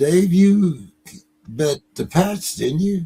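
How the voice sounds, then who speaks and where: Very slow speech from a man. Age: 70s. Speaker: sports show host. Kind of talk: casual chat. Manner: halting, repeats words.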